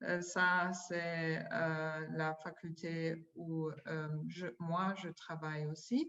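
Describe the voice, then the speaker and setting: A woman with a non-native accent speaks at a very slow pace and a fairly low pitch, with monotone, flat intonation and hardly any pauses. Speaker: university administrator. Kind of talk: conference presentation. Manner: halting, many hesitations.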